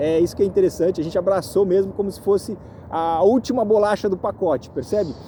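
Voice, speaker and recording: A man speaks at a fairly quick pace in a high voice with ordinary pitch variation, over noticeable background noise. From Brazil. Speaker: real estate agent. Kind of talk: vlog monologue. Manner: halting, many fillers.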